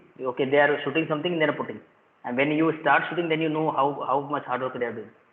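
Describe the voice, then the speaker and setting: A fairly high-pitched man at a very fast pace with fairly even intonation, over noticeable background noise. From India, Rajasthan. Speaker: school principal. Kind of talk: casual chat. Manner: halting.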